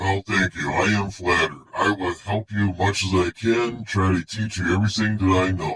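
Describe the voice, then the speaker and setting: Putting on a character voice, a man with fairly low pitch speaks at a moderate pace with fairly even intonation and hardly any pauses. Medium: audio drama. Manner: gruff, blustery.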